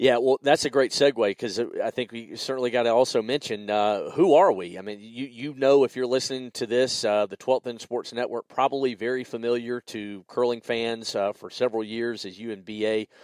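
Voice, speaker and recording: Recorded with a dry, close sound and no echo, a man with a Southern US accent speaks at medium pitch and a fairly quick pace, with hardly any pauses, fairly even intonation and big swings in loudness. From US South, South Carolina. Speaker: podcast host. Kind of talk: casual podcast chat.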